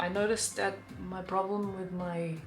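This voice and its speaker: A woman with a non-native accent, audible room echo and music in the background. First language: not English. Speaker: beauty vlogger. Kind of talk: makeup tutorial. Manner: halting; casual.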